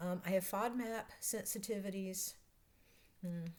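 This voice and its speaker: With a Southern US accent, this voice shows ordinary pitch variation. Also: woman. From North Carolina. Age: 60s. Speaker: vlogger, process analyst coach. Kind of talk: casual vlog self-introduction.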